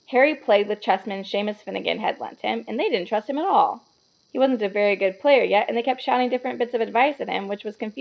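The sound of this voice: Pitch moves an ordinary amount in this unforced reading voice. The surroundings are quiet.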